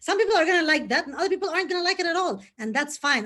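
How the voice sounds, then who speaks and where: A woman against a quiet background. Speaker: live show host. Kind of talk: live interview. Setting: Facebook live video. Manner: fast.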